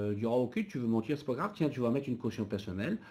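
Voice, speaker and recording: A man with a dark, mellow tone sounds somewhat breathy, with ordinary pitch variation. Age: 50s. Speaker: business owner and association president. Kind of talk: webinar panel discussion.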